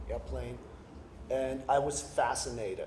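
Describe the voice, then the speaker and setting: Noticeable background noise and audible room echo are present. The man's delivery moves at a moderate pace. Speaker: artist and designer giving a conference talk. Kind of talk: conference talk. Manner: hesitant, many ums.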